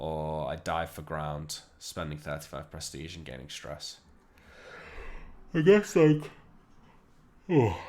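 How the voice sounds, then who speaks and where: A man with a Liverpool accent at a fairly slow pace, his pitch variation ordinary. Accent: Liverpool (Scouse). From northern England, Liverpool. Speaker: video game streamer. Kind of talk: gameplay commentary.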